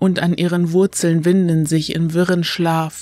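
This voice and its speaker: A woman's fairly low, dark, mellow voice, fairly slow and solemn, dramatic, with monotone, flat intonation. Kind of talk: dramatic narration of a gothic horror story, read aloud as an audiobook. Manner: slow, solemn and brooding, with eerie ominous emphasis and long dramatic pauses.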